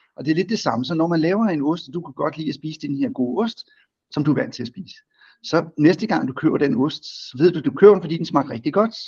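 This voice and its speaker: A man with a fairly high pitch talks at a very fast pace. His intonation is lively, with big swings in loudness. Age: 50s. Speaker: company chief executive. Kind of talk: business interview.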